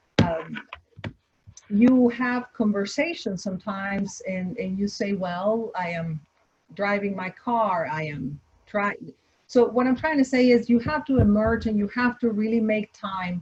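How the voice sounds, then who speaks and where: Speaking with a slight Spanish accent, a woman uses a medium pitch and lively intonation at a fairly slow pace. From Mexico, Torreón. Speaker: entrepreneur, restaurant founder. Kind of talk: online panel Q&A. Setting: video call. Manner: halting, many repetitions.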